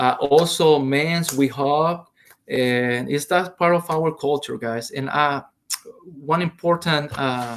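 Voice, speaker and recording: At a very slow pace, a man with a Salvadoran accent speaks at a fairly high pitch with ordinary pitch variation. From El Salvador. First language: Spanish. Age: 40s. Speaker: Spanish teacher. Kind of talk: online lesson. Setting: recorded video lesson. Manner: hesitant, many fillers.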